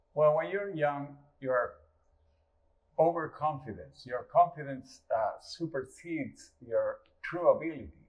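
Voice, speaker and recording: With a Uruguayan accent, a man talks in long, frequent pauses. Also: fairly slow pace. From rural Uruguay. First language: Spanish. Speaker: guitarist. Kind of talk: casual interview.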